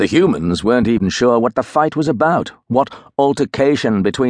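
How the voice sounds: The reading voice sounds natural. Its intonation is lively.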